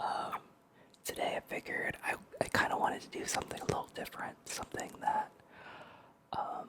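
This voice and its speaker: Whispering at a fairly quick pace, a man leaves long, frequent pauses against noticeable background noise. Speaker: gaming and ASMR YouTuber. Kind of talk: ASMR talk to camera, relaxed sleep-aid narration.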